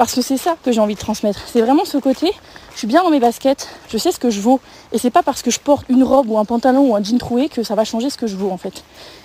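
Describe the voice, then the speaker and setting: Intonation rises and falls in a lively way. The words come out very fast. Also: woman, high pitch for a woman. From eastern France, Lorraine (Vosges). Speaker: podcast host, image consultant and coach. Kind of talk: solo podcast talk. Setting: outdoors, walking in a forest. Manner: frank, direct; casual with many fillers.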